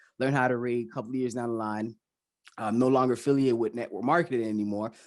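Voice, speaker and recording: This man speaks with a Haitian accent. The background is quiet. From Miami, Florida (Haitian family). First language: Haitian Creole. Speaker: financial educator, YouTuber. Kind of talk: interview.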